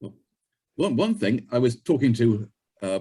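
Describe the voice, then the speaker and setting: A man with a British accent speaks at a medium pitch and a moderate pace, his pitch swinging very widely. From UK. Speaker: software developer and author. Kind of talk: podcast interview.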